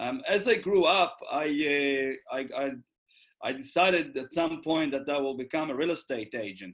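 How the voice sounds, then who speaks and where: A man with an Israeli accent and a fairly high pitch talks at a moderate pace with lively intonation and long, frequent pauses. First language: Hebrew. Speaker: real estate investor. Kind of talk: interview. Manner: halting.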